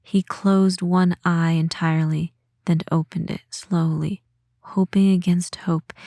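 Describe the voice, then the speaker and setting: With an American accent, a woman speaks at a fairly slow pace in a dark, mellow tone that is somewhat breathy and monotone, flat in intonation. The recording is very clean, with a silent background. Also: dry, close sound with no echo. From United States. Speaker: audiobook narrator. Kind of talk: horror story audiobook reading.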